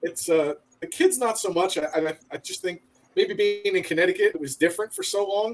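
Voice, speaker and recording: Talking at a fairly quick pace, a man with an American accent has a high pitch. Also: ordinary pitch variation. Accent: Northeastern US accent, noticeable to locals. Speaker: military veteran. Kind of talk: casual chat.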